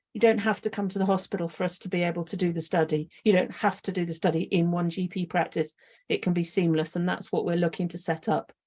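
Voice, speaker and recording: A woman's fairly low, somewhat breathy voice with a dark, mellow tone moves at a very fast pace with fairly even intonation. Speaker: clinical research lead. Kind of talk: presentation with slides. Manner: halting, many fillers.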